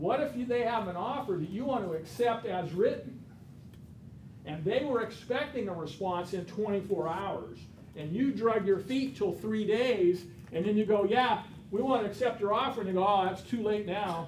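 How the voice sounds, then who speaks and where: A man speaks loudly at a moderate pace in a high pitch with ordinary pitch variation. There is audible room echo and noticeable background noise. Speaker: real estate instructor. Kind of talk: lecture.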